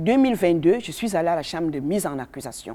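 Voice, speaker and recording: With very wide pitch swings, a woman speaks in a dark, mellow tone. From Cameroon. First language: a Cameroonian language (speaking French). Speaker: activist speaking on racism. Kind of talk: testimony. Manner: halting.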